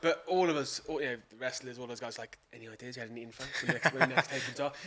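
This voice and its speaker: Amid noticeable background noise, a man with an English accent talks very fast at medium pitch, his loudness swinging widely. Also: ordinary pitch variation. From England. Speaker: professional wrestling commentator and ring announcer. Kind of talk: podcast interview answer.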